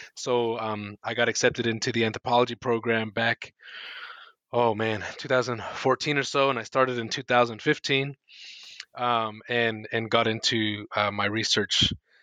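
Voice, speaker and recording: A bright, sharp tone with an American accent comes through in a dry, close sound with no echo, delivered at a fairly slow pace in a monotone, flat intonation. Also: man, medium pitch for a man. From United States. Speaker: anthropologist and book editor. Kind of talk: interview.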